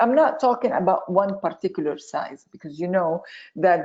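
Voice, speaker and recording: A woman with a Lebanese accent, fairly low-pitched, lively in intonation, at a moderate pace. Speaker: chemistry professor. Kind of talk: webinar lecture. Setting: online webinar.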